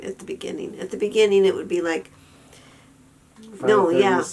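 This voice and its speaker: A woman speaks with an American accent. Noticeable noise runs in the background. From Western New York. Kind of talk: casual talk to camera.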